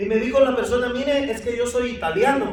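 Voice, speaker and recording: The pace is fairly quick, with noticeable background noise and audible room echo. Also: man. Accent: Guatemalan. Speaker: pastor. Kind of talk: sermon.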